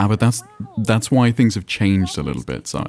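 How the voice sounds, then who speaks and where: Fairly quick speech in an English accent over noticeable background noise. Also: man. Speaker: streamer. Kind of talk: casual chat.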